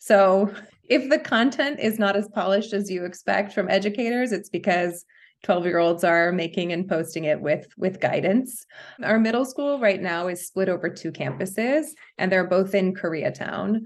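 Speaking at a moderate pace in an American accent, a woman uses a plain, everyday voice at medium pitch with ordinary pitch variation. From New York. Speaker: school principal. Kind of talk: casual interview.

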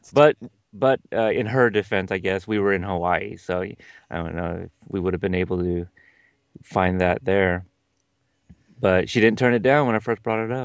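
Pausing long and often, a man with a fairly low pitch speaks at a moderate pace with ordinary pitch variation. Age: 30s. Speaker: fellow podcaster. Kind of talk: casual chat.

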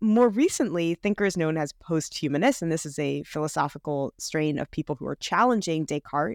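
A woman with a normal speaking voice talks at a moderate pace and a fairly low pitch with ordinary pitch variation, recorded with a dry, close sound with no echo on a very clean track with a silent background. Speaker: podcast host. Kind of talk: interview.

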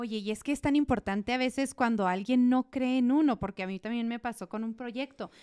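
High-pitched female voice with a dark, mellow tone and ordinary pitch variation, hardly any pauses, and a dry, close sound with no echo on a very clean recording with a silent background. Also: fairly quick pace. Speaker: podcast host. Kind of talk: interview conversation.

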